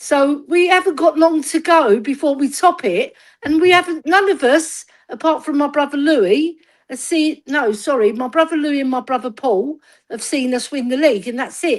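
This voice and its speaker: A woman speaks in a high voice with a London accent and lively intonation. Her pace is moderate, and the recording is very clean with a silent background. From north London, Tottenham. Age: 60s. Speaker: football fan. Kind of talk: casual chat. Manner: animated.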